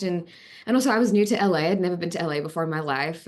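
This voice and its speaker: An animated woman's voice in an Australian accent, at a very fast pace. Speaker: actress. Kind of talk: interview.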